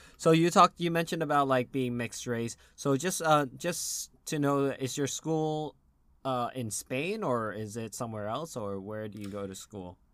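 With an American accent, a man speaks at a medium pitch and a moderate pace, with lively intonation and big swings in loudness. The recording is very clean, the background silent. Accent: general American, slight British slips. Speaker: podcast host. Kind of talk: casual chat.

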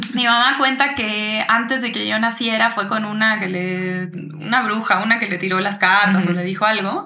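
Amid noticeable background noise and audible room echo, a woman speaks at a moderate pace in a fairly high pitch with ordinary pitch variation. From Uruguay. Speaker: singer-songwriter. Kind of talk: casual interview chat.

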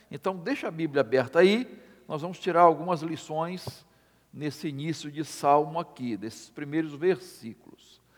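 The man's voice is fairly high, with lively intonation and a moderate pace. His loudness swings widely. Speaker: pastor. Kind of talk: sermon. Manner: halting.

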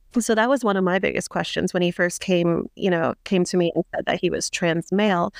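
With a plain, everyday voice, a woman talks at a fairly quick pace and medium pitch, with fairly even intonation, very even loudness and hardly any pauses, in a dry, close sound with no echo against a quiet background. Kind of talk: casual interview.

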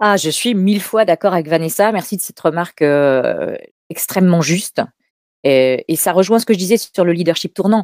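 Recorded in a dry, close sound with no echo, a woman with an ordinary speaking voice talks at a medium pitch and a moderate pace. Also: ordinary pitch variation. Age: 50s. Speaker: public speaking coach and agency head. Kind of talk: interview. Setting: live stream.

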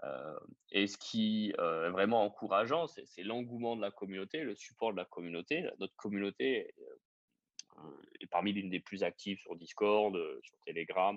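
A man's fairly low voice at a moderate pace, with ordinary pitch variation, big swings in loudness and long, frequent pauses. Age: 30s. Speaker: startup co-founder and executive. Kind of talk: interview. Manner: halting, many fillers and repetitions.

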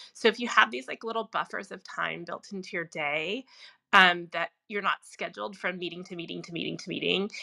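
Using vocal fry, a woman speaks at a fairly quick pace. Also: dry, close sound with no echo. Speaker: productivity coach. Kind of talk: casual chat. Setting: Clubhouse audio room.

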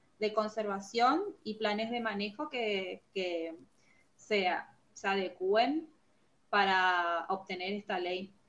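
Speaking at a very slow pace, a woman with a northeastern Argentine accent has a fairly high pitch. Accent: northeastern Argentine Spanish (voseo). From Argentina (Formosa). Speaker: forestry engineer. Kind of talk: interview. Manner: halting, many fillers and repetitions.

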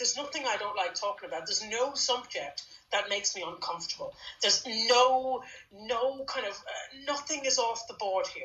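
Speaking with a Dublin accent, a woman uses a high pitch and lively intonation at a moderate pace against noticeable background noise. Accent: Irish (Dublin). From Dublin, Ireland. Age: 40s. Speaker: podcast co-host and author. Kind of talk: casual conversation.

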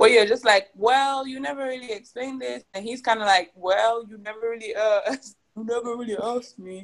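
Moderately paced speech from a woman, fairly high-pitched, in a plain, everyday voice. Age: 20s. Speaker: podcast co-host. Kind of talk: casual chat.

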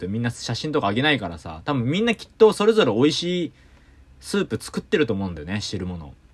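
A man's animated, very fast delivery with very wide pitch swings, on a very clean recording with a silent background. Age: 30s. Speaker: singer-songwriter and podcast host. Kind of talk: casual solo chat.

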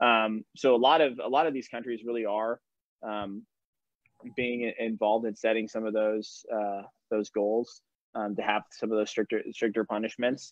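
This man's medium-pitched voice carries fairly even intonation. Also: moderate pace. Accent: American. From California. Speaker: nonprofit anti-trafficking director. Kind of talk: webinar interview.

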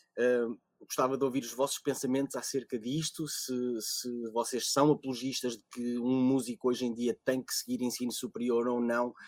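In a dry, close sound with no echo, a man speaks at a medium pitch and moderate pace in monotone, flat intonation, with big swings in loudness. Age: 30s. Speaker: podcast moderator and musician. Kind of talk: panel moderation.

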